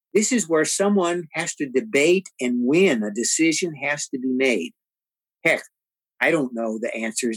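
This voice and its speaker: With an American accent and lively intonation, a man speaks at a moderate pace in an unremarkable speaking voice. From San Antonio, Texas (west side). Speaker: podcast co-host. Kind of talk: casual discussion.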